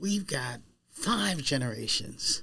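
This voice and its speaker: A man's voice, fairly high in pitch, at a fairly slow pace. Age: 60s. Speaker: podcast host, organizational psychologist and executive coach. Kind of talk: podcast interview.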